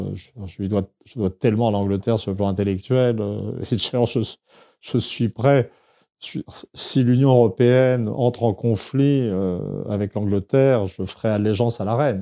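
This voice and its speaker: Against a quiet background, the voice has a dark, mellow tone and fairly even intonation at a fairly slow pace, with a dry, close sound and no echo. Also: man, medium pitch for a man. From France, Paris region (Saint-Germain-en-Laye). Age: 60s. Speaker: historian and anthropologist. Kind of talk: interview. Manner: halting, many hesitations and repetitions.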